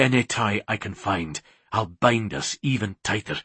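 In a put-on character voice, a man speaks fairly low, breathy and hoarse with a slightly husky edge and lively intonation. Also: fairly slow pace, dry, close sound with no echo.

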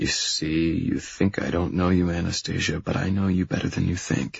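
A man uses a put-on character voice, pitched low, with a husky, rough edge and vocal fry. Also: fairly even intonation, moderate pace.

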